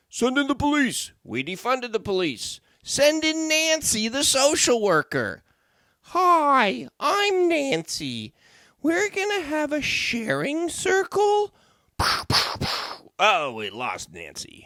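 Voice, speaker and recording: Using a put-on character voice at an extremely high pitch, a man speaks at a fairly slow pace. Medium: solo performance. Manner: comic overacting.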